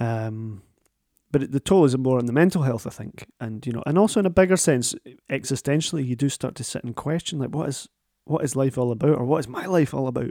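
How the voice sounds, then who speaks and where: A man with a Scottish accent speaks very fast. His medium pitch shows ordinary pitch variation. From Scotland. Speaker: podcast host. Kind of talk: casual interview chat. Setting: remote recording, home.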